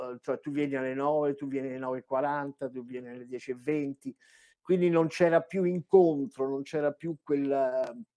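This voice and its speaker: Dark and mellow in tone, the man's voice keeps a fairly even intonation. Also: big swings in loudness, quiet background. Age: 70s. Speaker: voice actor. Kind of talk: casual chat. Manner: halting. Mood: relaxed, anecdotal. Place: home room.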